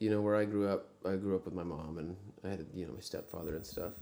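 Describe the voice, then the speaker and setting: A man with a Texan accent, very deep, low pitch, dark, mellow tone, ordinary pitch variation and a moderate pace, with audible room echo. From US South, Texas (rural Brazoria County south of Houston). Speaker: singer-songwriter and pianist. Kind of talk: casual chat. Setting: backstage dressing room.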